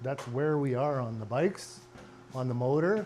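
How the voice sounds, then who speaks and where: A man speaks at a medium pitch with ordinary pitch variation. Audible room echo surrounds his voice. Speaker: car and motorcycle restoration vlogger. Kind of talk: casual chat. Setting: home garage workshop. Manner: loud.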